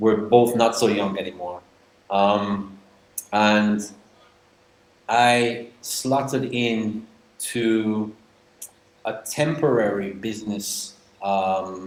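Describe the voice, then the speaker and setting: In a room with audible echo, a man speaks at a very slow pace and fairly low pitch, with long, frequent pauses. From northern England, Manchester. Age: 40s. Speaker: expat guest. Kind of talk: interview. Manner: animated.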